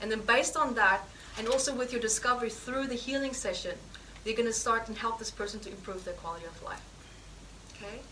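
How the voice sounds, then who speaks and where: A woman with a fairly high voice talks very fast, with long, frequent pauses and big swings in loudness, over noticeable background noise and audible room echo. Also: ordinary pitch variation. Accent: non-native. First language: not English. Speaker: healing therapy teacher. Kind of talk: live teaching demonstration session. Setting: course room with live audience.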